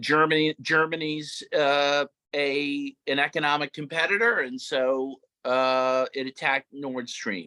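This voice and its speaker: A bright, sharp tone with an American accent, dry and close with no echo. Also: man. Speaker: conference panelist. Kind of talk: panel discussion.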